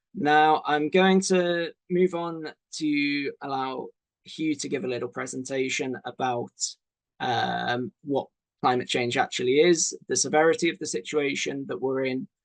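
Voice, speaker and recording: Speaking in a British accent, a man uses a fairly high pitch, ordinary pitch variation and a fairly slow pace. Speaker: doctor hosting a launch webinar. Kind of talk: webinar presentation. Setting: online webinar. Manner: casual with many fillers.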